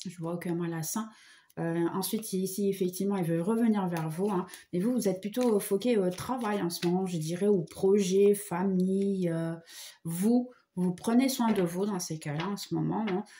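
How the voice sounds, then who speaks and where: A woman's somewhat breathy, dark, mellow voice at medium pitch, with fairly even intonation and a moderate pace. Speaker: tarot reader. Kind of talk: tarot reading. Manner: hesitant, many fillers.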